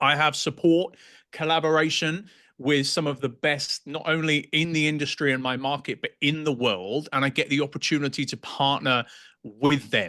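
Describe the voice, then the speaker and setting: Against a quiet background, a man talks with a strong British accent. His voice is fairly high, with a bright, sharp tone. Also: fairly even intonation, moderate pace. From England. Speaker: real estate agent. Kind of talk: podcast interview.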